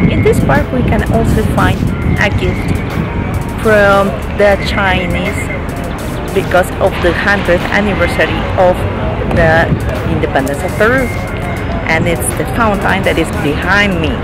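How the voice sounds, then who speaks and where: Music plays in the background as a woman speaks fairly slowly with ordinary pitch variation, long, frequent pauses, and a dry sound with no echo. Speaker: travel vlogger. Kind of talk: casual vlog chat. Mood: cheerful, smiling. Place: garden. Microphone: phone near.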